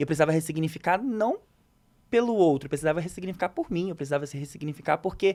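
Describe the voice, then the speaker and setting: A man with a high voice swings very widely in pitch, in a very clean recording with a silent background. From Rio de Janeiro, Brazil. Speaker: psychoanalyst and content creator. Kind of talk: interview answer.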